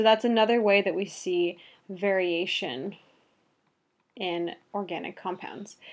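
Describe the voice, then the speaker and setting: A woman talks with a medium pitch and fairly even intonation. The background is quiet. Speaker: biology teacher. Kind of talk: lecture. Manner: fast.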